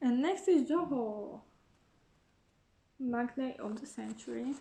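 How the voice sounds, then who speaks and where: A woman with a non-native accent speaks very slowly in a high voice with a dark, mellow tone and ordinary pitch variation. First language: not English. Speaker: YouTuber, K-pop fan. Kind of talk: casual unboxing vlog. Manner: casual, with fillers and restarts.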